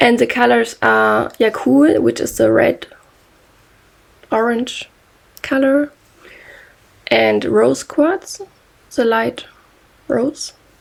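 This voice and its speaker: A woman with a German accent, at a very slow pace with long, frequent pauses. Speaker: knitting podcaster. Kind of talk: casual monologue. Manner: halting.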